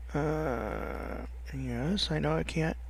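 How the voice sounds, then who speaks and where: A mumbling man amid audible room echo. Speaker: let's play gamer. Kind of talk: gameplay commentary. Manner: halting.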